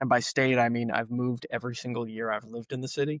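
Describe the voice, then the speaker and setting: An American accent, monotone and flat in intonation, with a dry, close sound and no echo. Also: man. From Long Island, New York. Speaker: company founder and CEO. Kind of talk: casual chat.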